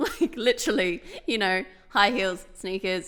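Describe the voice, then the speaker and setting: A woman's medium-pitched voice, bright and sharp, animated in tone and at a moderate pace. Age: 20s. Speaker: podcast co-host. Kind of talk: casual chat.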